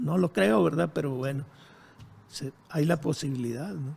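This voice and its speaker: Somewhat breathy, a man with a fairly high pitch and a dark, mellow tone speaks at a fairly slow pace. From Monterrey, Mexico. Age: 70s. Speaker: former guerrilla leader, architect. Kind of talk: interview. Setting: his home.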